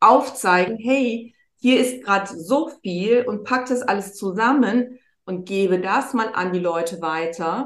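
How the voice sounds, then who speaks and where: Very slow speech from a woman, fairly high in pitch. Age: 50s. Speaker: wellbeing mentor, former model. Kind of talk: casual chat.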